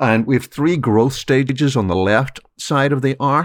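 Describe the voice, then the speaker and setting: The speaker is a man. He talks with an Irish accent. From Ireland. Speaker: keynote speaker and author. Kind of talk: interview.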